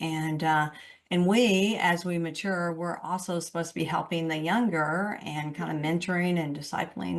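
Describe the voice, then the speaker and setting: A woman with a plain, everyday voice, fairly low pitch, moderate pace and hardly any pauses. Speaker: radio show host. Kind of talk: radio interview, host questions.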